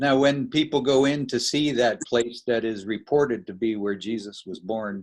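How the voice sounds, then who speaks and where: An unremarkable speaking voice from a man at a moderate pace, medium in pitch, with ordinary pitch variation. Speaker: interviewer.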